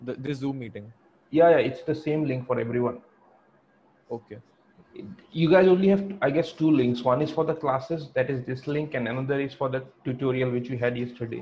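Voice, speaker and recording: Leaving long, frequent pauses, a man talks at a moderate pace with ordinary pitch variation. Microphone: video call.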